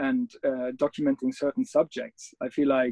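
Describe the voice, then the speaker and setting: With a German accent, a man speaks in a dark, mellow tone, his pitch swinging very widely. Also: dry, close sound with no echo. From Germany. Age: 30s. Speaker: adventure photographer. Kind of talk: interview. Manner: halting.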